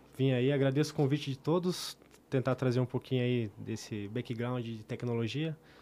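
Using an ordinary speaking voice, a man talks at a moderate pace with a medium pitch and ordinary pitch variation. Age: 20s. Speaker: IoT technology specialist. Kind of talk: casual chat.

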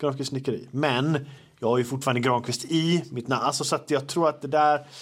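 In a very clean recording with a silent background, a man with an unremarkable speaking voice talks at a moderate pace, his pitch fairly high and its variation ordinary. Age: 30s. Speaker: podcast host, social media creator. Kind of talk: casual chat. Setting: at home.

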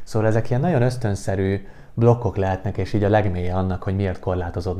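A man speaks with a dark, mellow tone at a very deep, low pitch, keeping his intonation fairly even. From Hungary. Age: 20s. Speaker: podcast host and life coach. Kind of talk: solo podcast monologue.

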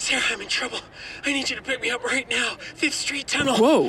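A high-pitched voice speaks at a fairly quick pace over clear background noise. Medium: audio drama. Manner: panicked, urgent.

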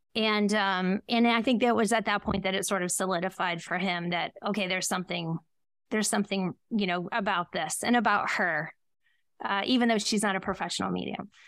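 In an unremarkable speaking voice with an American accent, a woman talks at a fairly quick pace and medium pitch. Her intonation is fairly even, and the recording is very clean with a silent background. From Ohio, US Midwest. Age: 40s. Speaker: psychic medium. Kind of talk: interview.

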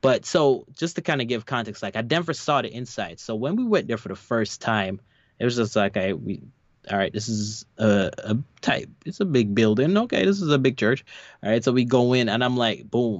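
Speaking in a normal speaking voice, a man with a medium pitch talks at a moderate pace with lively intonation. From New York. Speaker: podcast co-host. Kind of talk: casual chat.

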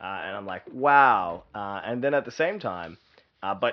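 Speaking in an Australian accent, a man keeps a moderate pace with ordinary pitch variation. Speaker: growth consultant and entrepreneur. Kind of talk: interview. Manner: halting, many fillers.

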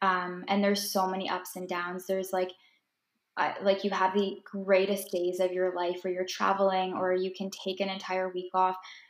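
A woman with a Canadian accent talks at a moderate pace and medium pitch, her intonation monotone and flat. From Ontario, Canada. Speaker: holistic nutritionist and food blogger. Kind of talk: casual chat.

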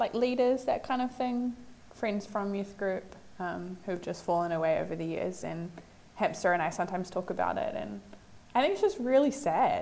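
The woman's voice sits at medium pitch with ordinary pitch variation. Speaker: podcast panelist. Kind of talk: casual chat.

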